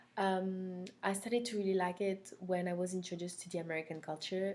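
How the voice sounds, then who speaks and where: A woman with a French accent, at a moderate pace. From France (Corsica). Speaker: language instructor. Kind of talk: recorded course introduction. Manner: hesitant, many fillers.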